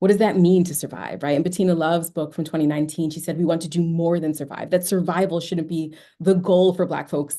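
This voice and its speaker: A woman speaks very fast with an American accent, her pitch fairly low. Her tone is dark and mellow, and the background is quiet. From New York. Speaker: educator and researcher. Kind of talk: virtual lecture presentation. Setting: video call.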